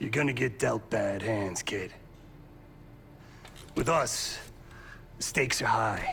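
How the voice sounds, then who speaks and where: A man's raspy, put-on character voice at medium pitch, fairly slow with long, frequent pauses, over clear background noise. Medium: video game. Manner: gruff, blunt.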